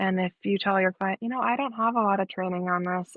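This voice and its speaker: A woman speaks at a medium pitch with ordinary pitch variation in an unremarkable speaking voice. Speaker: therapist. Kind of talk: interview.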